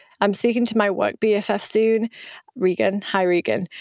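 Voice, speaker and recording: On a very clean recording with a silent background, a woman talks with a British accent. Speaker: podcast host and coach. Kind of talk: solo podcast monologue.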